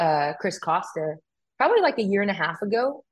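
At a fairly quick pace, a woman talks in an American accent. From US West Coast, California. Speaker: firearms instructor and model. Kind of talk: casual interview chat.

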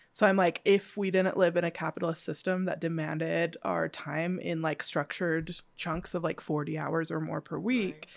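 Vocal fry and fairly even intonation at a moderate pace, with hardly any pauses, on a very clean recording with a silent background. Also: woman, fairly low pitch for a woman. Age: 30s. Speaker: university educator. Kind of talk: casual chat. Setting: at a table in a home.

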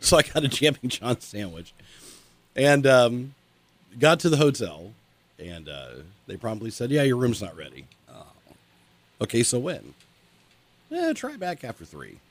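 A man talks at a moderate pace and medium pitch, with long, frequent pauses. His pitch swings very widely, and his loudness swings a lot too. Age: 40s. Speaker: morning radio co-host. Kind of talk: casual chat.

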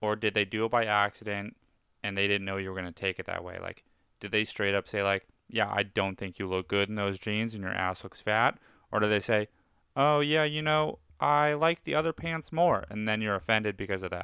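A man with a fairly low voice and a bright, sharp tone talks at a fairly quick pace in a dry, close sound with no echo and a quiet background. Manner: monotone.

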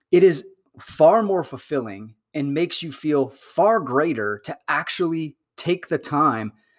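Animated and upbeat, a man with a General American accent speaks at a fairly slow pace with lively intonation on a very clean recording with a silent background. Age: 40s. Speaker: podcast host. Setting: solo podcast. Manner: upbeat, warm.

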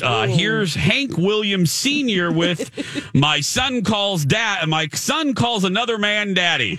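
A man's pitch swings very widely. Noticeable background noise is present. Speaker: radio show host. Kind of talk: casual. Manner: enthusiastic.

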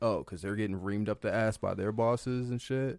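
Fairly low in pitch and fairly even in intonation, this man has a normal speaking voice. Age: 30s. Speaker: content creator. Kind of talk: casual chat.

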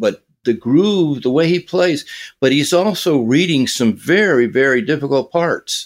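A man with an American accent speaks at a fairly slow pace. His pitch is fairly high and his intonation lively. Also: very even loudness. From US Southwest (California, Arizona). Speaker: drummer and drum teacher. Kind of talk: interview. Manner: halting, many fillers.

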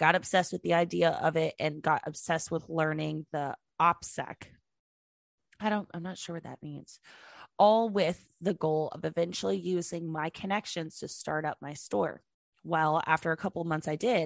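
A woman with a normal speaking voice and fairly low pitch talks at a moderate pace, her pitch varying in an ordinary way and her loudness swinging widely. The sound is dry and close with no echo, and the background is quiet. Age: 20s. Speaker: podcast co-host. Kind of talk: reading listener stories aloud. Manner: casual, laughing.

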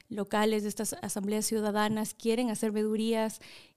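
On a very clean recording with a silent background, a woman talks at a moderate pace. Her voice is fairly high, with a dark, mellow tone. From Ecuador. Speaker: public official. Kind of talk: casual interview.

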